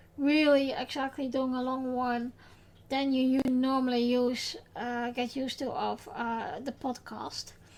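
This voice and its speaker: A woman's high-pitched voice, moving at a very slow pace. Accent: Dutch. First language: Dutch. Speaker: podcast host. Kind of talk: podcast recap, personal tribute. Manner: halting, many fillers.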